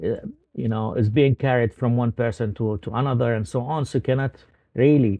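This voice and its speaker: With an Arabic accent, a man speaks at a moderate pace, his pitch medium and its variation ordinary. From Palestine, Ramallah. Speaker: journalist. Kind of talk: interview. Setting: video call. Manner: hesitant, many fillers.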